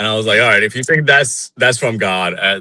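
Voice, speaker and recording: A man is speaking. He has an Iranian accent. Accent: Iranian (Persian) accent in English. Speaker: Iranian dissident. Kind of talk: interview.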